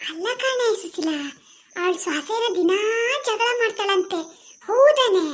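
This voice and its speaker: A woman puts on a loud, squeaky cartoonish character voice with an extremely high pitch. She speaks at a very slow pace with lively intonation. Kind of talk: village comedy cartoon. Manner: loud, rambling, mishears and answers off topic.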